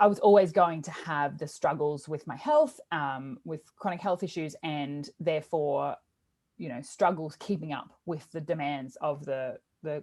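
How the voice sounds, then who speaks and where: In an Australian accent, a woman talks at a fairly slow pace with a very deep, low pitch. The recording is very clean, with a silent background. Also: ordinary pitch variation. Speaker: teacher wellbeing coach and podcast host. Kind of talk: interview.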